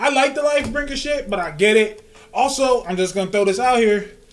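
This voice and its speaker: At a moderate pace, a man talks with lively intonation at an extremely high pitch over noticeable background noise. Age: 30s. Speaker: comic book podcast host. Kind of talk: casual chat. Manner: animated.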